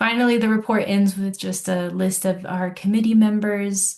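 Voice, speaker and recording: A woman talks somewhat breathily, keeping a moderate pace. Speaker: council staff coordinator. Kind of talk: public meeting presentation.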